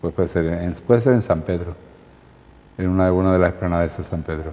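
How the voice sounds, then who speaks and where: Using a dark, mellow tone, a man with a very deep, low pitch speaks at a fairly quick pace. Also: fairly even intonation. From Spain, Marbella (Andalusia). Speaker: local historian and author. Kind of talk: interview. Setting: studio. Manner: halting, many repetitions.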